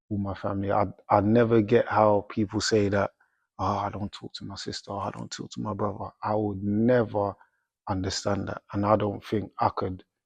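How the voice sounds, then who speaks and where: A man speaks in a South London accent at a fairly low pitch with monotone, flat intonation. His loudness swings a lot, and the sound is dry and close with no echo. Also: moderate pace, quiet background. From South London, England. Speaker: professional boxer. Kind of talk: interview, casual chat. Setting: boxing gym.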